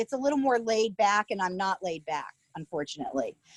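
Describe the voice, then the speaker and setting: A woman with a slight New York accent speaks at a moderate pace, the sound dry and close with no echo. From Connecticut near New York (Cos Cob). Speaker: small business baker. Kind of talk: casual interview. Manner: loud when nervous; animated.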